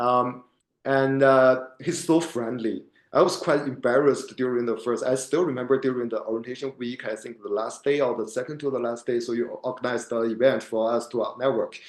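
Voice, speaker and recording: Man with a non-native accent, medium pitch and fairly even intonation. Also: fairly quick pace. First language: not English. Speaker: MBA student. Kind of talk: podcast interview. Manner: halting.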